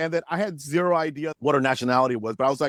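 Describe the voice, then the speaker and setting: A man's fairly high voice at a fairly quick pace, dry and close with no echo, in a very clean recording over a silent background. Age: 40s. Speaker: actor and filmmaker. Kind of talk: casual chat. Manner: animated storytelling.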